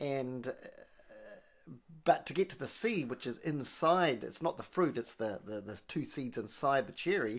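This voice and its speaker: The pace of speech is moderate. It comes in an American accent. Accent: Kiwi American. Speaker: coffee podcast co-host. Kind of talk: casual chat.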